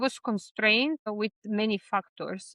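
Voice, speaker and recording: This is a woman speaking. She has a Serbian accent. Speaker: vlogger. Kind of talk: personal vlog. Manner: hesitant, with fillers.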